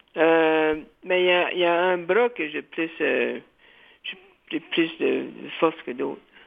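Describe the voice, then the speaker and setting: The pace is very slow. A man speaks with long, frequent pauses. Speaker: community radio host. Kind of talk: interview. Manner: halting, repeats words.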